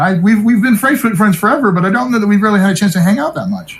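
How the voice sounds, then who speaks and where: Someone with an American accent talks at a very fast pace. Noticeable background noise runs underneath. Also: man. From US South (Tennessee, Atlanta, Georgia). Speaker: game show host. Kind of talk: casual chat.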